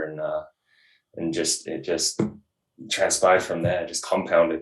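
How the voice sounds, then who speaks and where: A man with an English accent, at a fairly quick pace. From England. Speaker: hunting guide. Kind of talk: interview. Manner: fast; mumbling.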